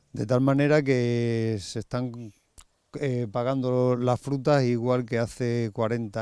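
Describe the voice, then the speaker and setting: A man speaks in a normal speaking voice at medium pitch. His intonation is fairly even. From Spain, Extremadura (Cáceres, Valle del Ambroz). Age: 50s. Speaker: farmer. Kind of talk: interview.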